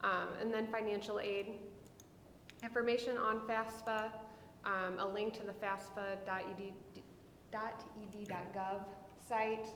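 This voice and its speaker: A woman with an American accent talks at a fairly slow pace and a fairly high pitch, with flat, monotone intonation and long, frequent pauses. Noticeable background noise and audible room echo fill the recording. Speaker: school counselor. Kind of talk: presentation to school board. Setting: school board meeting.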